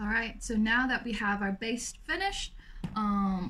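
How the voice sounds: A raspy woman's voice with audible room echo.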